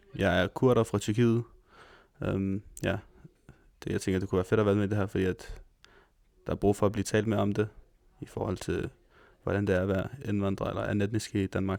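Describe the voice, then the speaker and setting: This man talks at a fairly quick pace, breaking often into long pauses. His pitch is fairly low and his intonation fairly even. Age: 19. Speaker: retail sales manager. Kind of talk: interview testimony.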